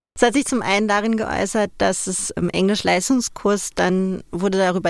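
Noticeable background noise sits behind a woman whose medium-pitched voice keeps a fairly even intonation. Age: 30s. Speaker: interviewee, former magazine nude model. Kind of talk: interview.

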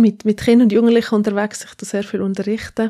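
Recorded very cleanly over a silent background, a woman speaks with a fairly high pitch. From Switzerland, Zürcher Oberland. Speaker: pastor. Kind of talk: casual interview.

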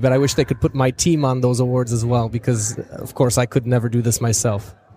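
A man with an American accent talks at a very fast pace in a medium pitch. His voice is somewhat breathy, with fairly even intonation. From US Midwest, Chicago. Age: 20s. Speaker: tech company founder and CEO. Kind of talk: interview. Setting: speakers' lounge at a trade fair.

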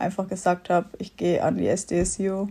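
A woman's voice comes across as dark and mellow in tone and somewhat breathy. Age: 20s. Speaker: master's student. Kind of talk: interview.

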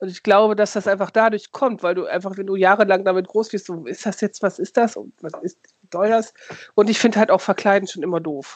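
With an unremarkable speaking voice of medium pitch, a woman talks at a fairly quick pace, her intonation fairly even but her loudness swinging widely. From Lower Saxony, near Osnabrück. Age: 40s. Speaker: podcast co-host, youth worker. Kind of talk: casual chat.

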